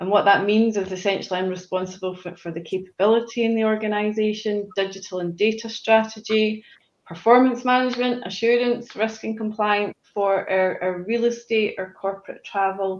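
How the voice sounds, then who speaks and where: With a Scottish accent, a woman talks fairly quickly at a fairly high pitch, her intonation fairly even and her speech with hardly any pauses. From Scotland. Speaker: corporate manager. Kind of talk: live panel interview. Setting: video call from home.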